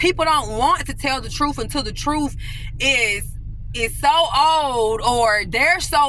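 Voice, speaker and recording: Against noticeable background noise, a woman with a high pitch uses a raised, projected voice at a fairly slow pace, with ordinary pitch variation. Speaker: homeless-turned-testimony storyteller. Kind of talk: casual talk to camera, emotional personal story. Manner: emotional, candid, emphatic, explicit language.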